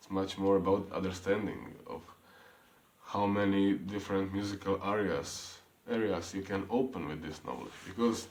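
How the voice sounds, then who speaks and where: The speaker talks in an Eastern European accent at a moderate pace. Room echo is audible. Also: man. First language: non-English. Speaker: piano teacher. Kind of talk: tutorial. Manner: halting.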